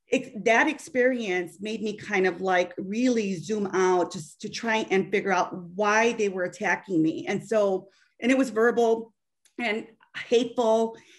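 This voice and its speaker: Against a quiet background, a woman talks fairly slowly at a fairly high pitch, with ordinary pitch variation. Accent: Chicago. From US Midwest. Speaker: bank business consultant; panel expert. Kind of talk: webinar panel discussion. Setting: video call. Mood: earnest, reflective. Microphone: video call.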